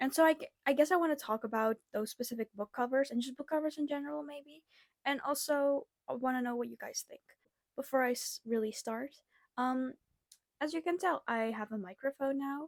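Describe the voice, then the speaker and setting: A soft-spoken woman talks fairly quickly at a high pitch with ordinary pitch variation. Her loudness swings widely, and the sound is dry and close with no echo. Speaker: booktuber. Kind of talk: casual chat. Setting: home bedroom. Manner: hesitant.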